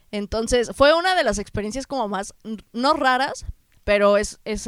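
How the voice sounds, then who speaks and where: On a very clean recording with a silent background, a woman speaks at a moderate pace with ordinary pitch variation, the sound dry and close with no echo. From Mexico. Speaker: travel podcast co-host. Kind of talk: casual chat.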